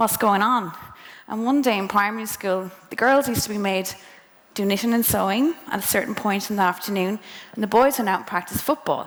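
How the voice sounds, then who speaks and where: Speaking at a fairly quick pace in a western Irish accent, a woman keeps a medium pitch with ordinary pitch variation. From Ireland, County Mayo. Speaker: speaker at a career talk. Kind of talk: presentation to students.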